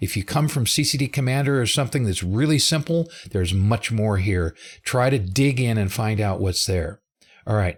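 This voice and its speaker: A somewhat breathy man speaks at a medium pitch and a moderate pace. His intonation is lively and his loudness very even. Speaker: software developer presenting a live webinar. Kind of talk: live tutorial webinar.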